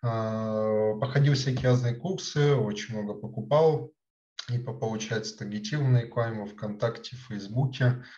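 A man of medium pitch has a dark, mellow, somewhat breathy tone, with ordinary pitch variation and big swings in loudness. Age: 20s. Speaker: chatbot developer. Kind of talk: interview. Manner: halting, many filler words.

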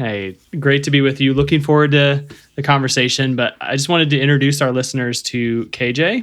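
Fairly quick and fairly even in intonation, a man with an ordinary speaking voice and fairly high pitch is heard in a very clean recording with a silent background. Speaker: podcast host. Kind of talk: casual interview chat.

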